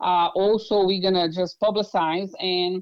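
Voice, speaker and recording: A woman with a Brazilian accent, medium pitch and a moderate pace. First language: Portuguese. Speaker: political candidate. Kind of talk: interview. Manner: halting.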